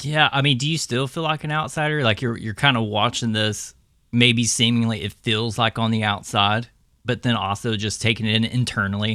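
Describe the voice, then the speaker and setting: A man with an American accent talks at a fairly quick pace. His medium-pitched voice has a bright, sharp tone and ordinary pitch variation. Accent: Southern US accent, stronger at home. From US South, southern Arkansas / East Texas. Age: 30s. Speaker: podcast host. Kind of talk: casual interview chat.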